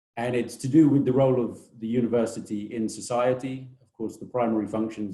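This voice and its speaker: Fairly even in intonation, a man with a British accent speaks in a dark, mellow tone. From Britain. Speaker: technology transfer office director. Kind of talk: webinar presentation. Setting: online webinar. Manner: hesitant, many fillers.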